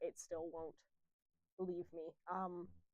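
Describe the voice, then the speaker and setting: A woman with a Canadian accent speaks in an animated tone, with a dry, close sound and no echo. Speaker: comic artist. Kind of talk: casual interview chat. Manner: loud, animated.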